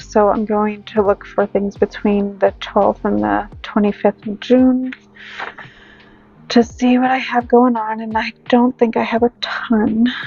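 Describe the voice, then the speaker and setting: With music in the background, a woman speaks at a fairly slow pace in a fairly high, monotone, flat voice, the sound dry and close with no echo. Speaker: budgeting vlogger. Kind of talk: casual tutorial.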